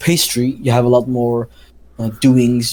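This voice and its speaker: Speaking in a Dutch accent, a man uses a dark, mellow tone at a medium pitch. His pace is fairly slow and his intonation monotone and flat. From Netherlands. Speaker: podcast co-host, pastry chef. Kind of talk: casual chat. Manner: halting, many fillers.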